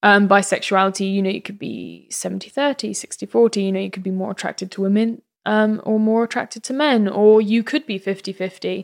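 A woman speaks with a southern English accent at medium pitch, with ordinary pitch variation. There are hardly any pauses, and the sound is dry and close with no echo. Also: fairly quick pace. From England, Bedfordshire. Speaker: actress. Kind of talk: casual chat. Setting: studio.

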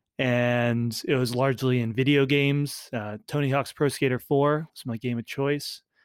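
In a normal speaking voice, a man speaks at a medium pitch with fairly even intonation and a dry, close sound with no echo. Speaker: startup founder and community executive. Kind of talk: casual interview chat.

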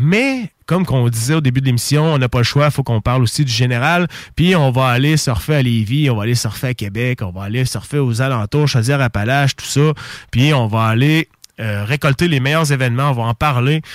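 Medium in pitch, a man speaks at a fairly quick pace. The sound is dry and close with no echo, on a very clean recording with a silent background. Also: ordinary pitch variation. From Quebec, Bellechasse region. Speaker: radio host. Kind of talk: casual radio chat. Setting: radio studio. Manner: animated.

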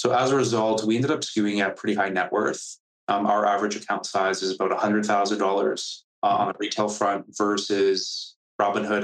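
With an unremarkable speaking voice, a man talks at a moderate pace in a fairly low pitch, with fairly even intonation and very even loudness. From Canada. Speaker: startup founder and CEO. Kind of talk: interview. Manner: casual, filler-heavy.

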